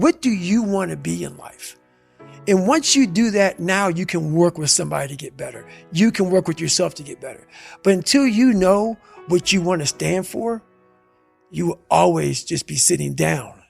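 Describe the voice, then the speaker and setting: Over background music, a man speaks in an intense tone at a moderate pace. His loudness swings widely. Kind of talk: motivational speech. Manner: intense, forceful.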